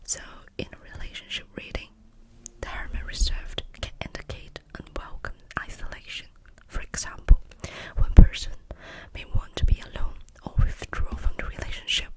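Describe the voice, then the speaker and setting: A woman whispers in a gentle tone at a moderate pace, with long, frequent pauses. Her loudness swings widely, and there is noticeable background noise. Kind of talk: ASMR whispered tarot reading, role play. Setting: close-mic studio ASMR. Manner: whispered, soft, gentle.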